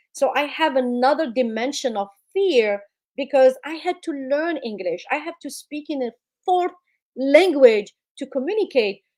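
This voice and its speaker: Her voice high and her loudness swinging widely, a woman speaks with a non-native accent. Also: lively intonation, moderate pace. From immigrant, non-English-speaking country. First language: not English. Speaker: public speaking coach. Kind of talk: interview advice.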